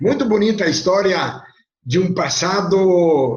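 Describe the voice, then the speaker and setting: A man's high-pitched voice at a very slow pace, with audible room echo. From southern Brazil, Rio Grande do Sul highlands (Casca). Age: 70s. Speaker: pig industry businessman. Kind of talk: interview, life story. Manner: conversational, with hesitations.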